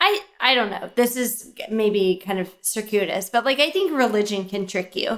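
A woman's plain, everyday voice at a moderate pace, with ordinary pitch variation. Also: fairly high pitch for a woman. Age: 20s. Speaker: podcast co-host. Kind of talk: casual chat.

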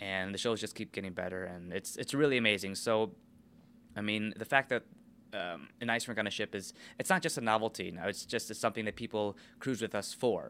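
With an American accent, a man uses an ordinary speaking voice at a fairly quick pace with ordinary pitch variation. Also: fairly low pitch for a man. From Minnesota, US. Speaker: ice show supervisor, former figure skater. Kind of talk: interview.

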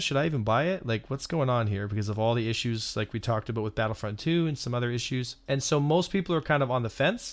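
A very fast pace and lively intonation in a Canadian accent. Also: man, very clean recording, silent background. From Canada. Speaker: game player and content creator. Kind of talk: casual chat.

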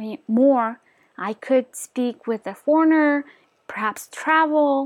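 Fairly slow speech with a Mongolian accent, dry and close with no echo. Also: woman. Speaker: motivational YouTuber. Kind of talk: casual vlog monologue. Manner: hesitant, many fillers.

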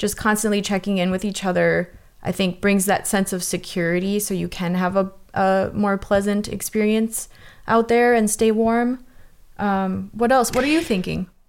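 A woman with a medium pitch speaks in a plain, everyday voice at a moderate pace. Her intonation is fairly even, and the recording is very clean with a silent background. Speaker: winter camper. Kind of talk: casual conversation. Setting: living room recording.

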